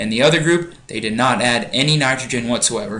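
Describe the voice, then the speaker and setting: With a bright, sharp tone and lively intonation, a man speaks at a medium pitch amid audible room echo. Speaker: biology teacher. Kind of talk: lecture. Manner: casual, conversational.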